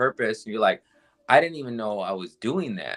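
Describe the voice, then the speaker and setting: Recorded very cleanly against a silent background, this voice has a bright, sharp tone, a dry, close sound with no echo, and an American accent. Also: man. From Southern California. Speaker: comedian and podcast host. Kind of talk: casual chat.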